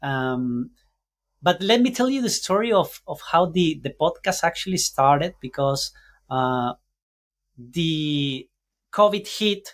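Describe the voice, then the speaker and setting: On a very clean recording with a silent background, a man speaks very slowly in a Spanish accent. His pitch is high, with lively intonation. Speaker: podcaster and entrepreneur mentor. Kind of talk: podcast interview. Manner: halting, searching for words.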